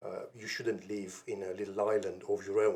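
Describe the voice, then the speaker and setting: A man talks with a non-native accent. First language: not English. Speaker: podcast host. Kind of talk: solo opinion monologue. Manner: halting with fillers.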